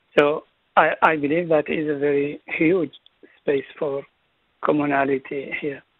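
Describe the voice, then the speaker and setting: A moderate pace, with a dry, echo-free sound over a quiet background. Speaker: presenter. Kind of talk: lecture. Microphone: video call.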